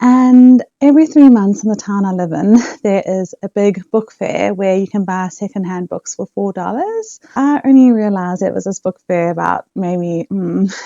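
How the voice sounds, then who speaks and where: With a South African accent, a woman talks at a moderate pace and medium pitch, with ordinary pitch variation and hardly any pauses. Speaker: book vlogger. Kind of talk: casual vlog chat.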